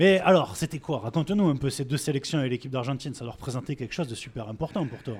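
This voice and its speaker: A man speaks at a very fast pace with hardly any pauses. His voice is fairly high, somewhat breathy, with ordinary pitch variation. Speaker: podcast co-host. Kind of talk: live public interview.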